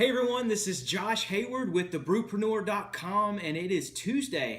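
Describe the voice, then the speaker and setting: With a Southern US accent and a high pitch, a man speaks at a moderate pace amid audible room echo. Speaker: beer reviewer. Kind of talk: casual video review. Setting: at home.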